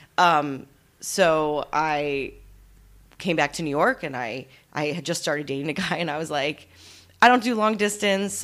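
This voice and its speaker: Recorded very cleanly with a silent background, a woman with an ordinary speaking voice talks in an American accent at a moderate pace with ordinary pitch variation. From US Northeast, Allentown, Pennsylvania. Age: 30s. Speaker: actress and acting coach. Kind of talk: casual interview chat.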